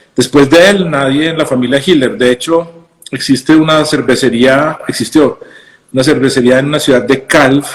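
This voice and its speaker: A man with a Colombian accent speaks at medium pitch and a moderate pace, with fairly even intonation. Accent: normal Colombian. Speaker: craft brewer and physician. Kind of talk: casual interview chat. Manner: halting, many fillers and repetitions.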